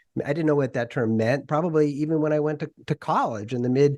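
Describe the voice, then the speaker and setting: A man with an American accent and a normal speaking voice talks at a fairly high pitch with ordinary pitch variation. The background is quiet. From US Northeast, Worcester, Massachusetts. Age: 60s. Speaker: podcast host interviewing authors. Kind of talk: interview conversation.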